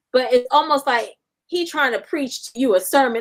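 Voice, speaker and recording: A woman's raised, projected voice carries a bright, sharp, animated tone, high in pitch with very wide pitch swings, at a moderate pace. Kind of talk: casual chat.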